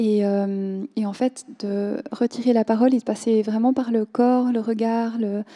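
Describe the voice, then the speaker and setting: With a Korean accent, a woman speaks at a very slow pace in a flat monotone, her fairly high-pitched voice dark and mellow, dry and close with no echo. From Switzerland. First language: Korean (speaking French). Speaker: novelist. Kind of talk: literary panel discussion. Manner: halting, many hesitations.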